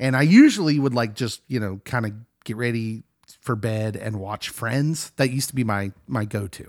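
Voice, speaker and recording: An unremarkable speaking voice moves at a moderate pace with ordinary pitch variation, heard in a dry, close sound with no echo. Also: man, medium pitch for a man. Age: 40s. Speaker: pastor and pop culture podcast co-host. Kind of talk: casual chat.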